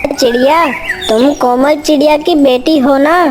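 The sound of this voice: Over loud background noise, a female-sounding voice does a cartoonish character voice, high-pitched for a woman and at a fairly slow pace.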